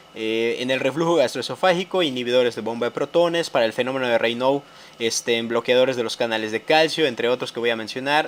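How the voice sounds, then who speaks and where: Very fast speech from a man, his pitch shifting in an ordinary way. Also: medium pitch for a man. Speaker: medical educator. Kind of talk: lecture. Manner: halting.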